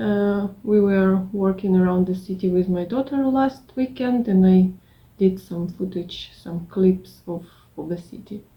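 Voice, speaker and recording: A woman's dark, mellow tone comes through somewhat breathy as she speaks at a fairly slow pace. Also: medium pitch for a woman, ordinary pitch variation. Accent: non-native. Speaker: craft vlogger. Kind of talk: casual vlog. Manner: halting.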